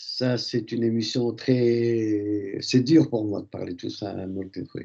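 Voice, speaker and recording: A very slow pace and a dark, mellow tone. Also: man. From Algeria. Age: 70s. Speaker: radio co-host. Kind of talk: radio discussion. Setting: live radio broadcast.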